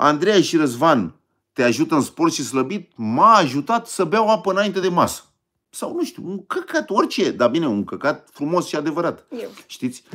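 An animated, high-pitched man's voice, bright and sharp in tone, with very wide pitch swings at a moderate pace over a quiet background. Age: 50s. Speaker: online video host, diet and sport channel; online video host. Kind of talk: casual live stream chat with viewers. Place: home room. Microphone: phone near.

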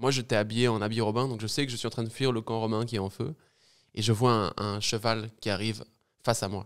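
A man speaks at a fairly quick pace with medium pitch and fairly even intonation against a quiet background. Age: 20s. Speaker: podcast guest. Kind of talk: casual chat. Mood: light, joking tone. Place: studio. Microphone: studio mic.

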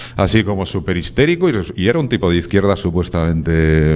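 A man talks at a fairly quick pace with a Spanish accent. His intonation is lively. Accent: Peninsular Spanish. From Spain. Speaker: writer; guest. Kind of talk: TV interview. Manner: casual. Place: studio. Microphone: handheld.

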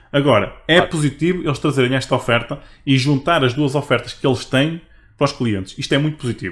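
A man talks at a very fast pace, his fairly high voice rising and falling in an ordinary way. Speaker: video game podcast host. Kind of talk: casual chat.

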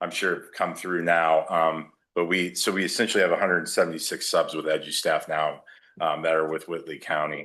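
The background stays quiet. Against it, a man speaks fairly quickly. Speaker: staffing agency district manager. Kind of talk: presentation to school board. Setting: board meeting with microphone. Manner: loud, voice carries.

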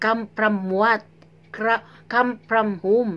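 Fairly high female voice at a very slow pace. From Philippines, Zamboanga; Philippines. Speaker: vlogger. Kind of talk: reaction video commentary. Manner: animated. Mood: indignant, scolding. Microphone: phone near.

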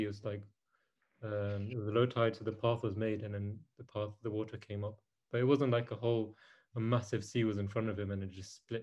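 A somewhat breathy voice at a very fast pace, monotone and flat in intonation, over a quiet background. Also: man. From Mauritius. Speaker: youth group leader. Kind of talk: casual religious talk.

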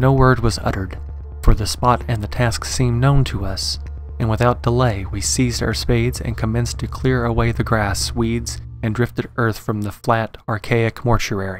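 Over music in the background, a man with a very deep, low voice talks at a moderate pace, his pitch swinging very widely in a dry sound with no echo. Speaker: story narrator. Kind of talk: dramatic story narration.

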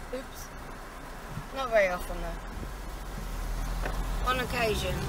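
A woman's raised, projected voice at a moderate pace, dry with no echo, over noticeable background noise. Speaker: vlogger. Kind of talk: casual vlog chat. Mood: light joking. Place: car. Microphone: camera far.

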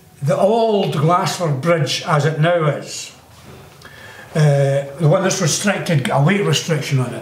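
The speaker moves at a fairly slow pace with ordinary pitch variation, and audible room echo surrounds the voice. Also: man, fairly high pitch for a man. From Glassford, South Lanarkshire, Scotland. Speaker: local resident recalling the past. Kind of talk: interview answer. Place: home room.

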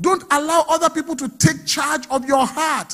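The background stays quiet while a man talks. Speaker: pastor. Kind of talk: sermon. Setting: church. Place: church. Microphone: handheld.

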